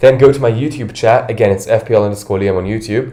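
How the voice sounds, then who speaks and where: The voice has an American accent and is somewhat breathy. Its intonation stays fairly even. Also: man. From London. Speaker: fantasy football streamer. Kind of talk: casual livestream chat.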